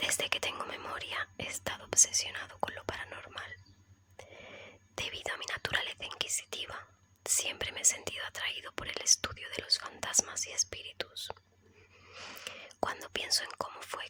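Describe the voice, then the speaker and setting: A woman whispers at a moderate pace with long, frequent pauses and big swings in loudness. Noticeable background noise sits behind her. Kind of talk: ASMR horror story reading. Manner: soft, relaxing, whispery.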